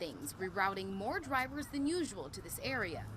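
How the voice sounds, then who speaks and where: A woman speaks at a moderate pace with very wide pitch swings. Noticeable background noise can be heard behind her. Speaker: television news reporter, multimedia journalist and fill-in anchor. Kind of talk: local TV news reporting, live shots and packages.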